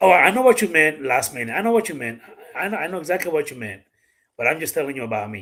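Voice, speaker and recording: This man talks at a very fast pace in a fairly high pitch, his bright, sharp tone marked by big swings in loudness and very wide pitch swings. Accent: Dominican. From Dominican Republic. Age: 40s. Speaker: gun YouTuber and live streamer. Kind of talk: casual live-stream chat. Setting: live stream with a guest.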